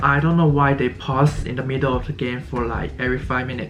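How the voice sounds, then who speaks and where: Fairly quick speech from a man at a medium pitch with ordinary pitch variation, with audible room echo and noticeable background noise. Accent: Chinese. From China. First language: Chinese. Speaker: college student vlogger. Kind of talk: casual vlog. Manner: halting, stuttering.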